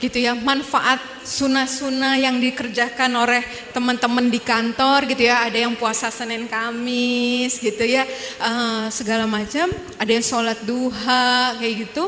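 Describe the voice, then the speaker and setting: With a Javanese accent and a high pitch, a woman talks at a fairly slow pace amid noticeable background noise and audible room echo. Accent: Javanese-accented Indonesian (medok). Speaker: dentist, convert sharing her story. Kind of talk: testimony talk to audience. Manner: casual, conversational.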